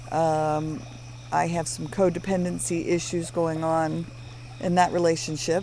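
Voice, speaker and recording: The speech comes at a fairly slow pace with fairly even intonation against noticeable background noise. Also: woman. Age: 50s. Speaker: podcast co-host, former mental health worker. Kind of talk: casual chat. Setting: outdoors by a fire.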